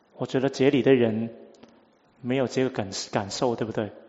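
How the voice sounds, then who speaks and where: At a moderate pace, the speaker talks with a Cantonese accent and fairly even intonation. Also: man. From Hong Kong. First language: Cantonese (speaking Chinese). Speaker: preacher. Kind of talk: sermon.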